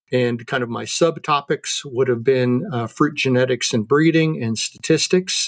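An unremarkable speaking voice at a fairly slow pace, with ordinary pitch variation and hardly any pauses. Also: man, fairly high pitch for a man. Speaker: horticulture professor. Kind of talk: casual interview.

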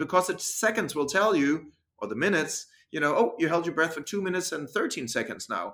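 With a Danish accent, a man speaks fairly quickly in a high pitch, his tone bright and sharp and his intonation lively. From Denmark. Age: 40s. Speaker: freediver and breathing coach. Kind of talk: interview. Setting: video call.

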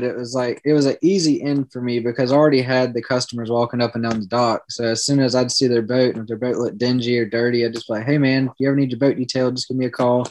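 A man with a Southern US accent, medium-pitched, talking very fast in a fairly even intonation. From South Carolina. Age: 20s. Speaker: business owner. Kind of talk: casual interview.

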